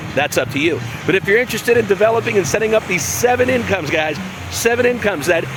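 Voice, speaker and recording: A man speaks at a high pitch in an animated tone. Noticeable background noise is present. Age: 50s. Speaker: online business coach. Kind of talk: sales pitch. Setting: outdoors. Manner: fast.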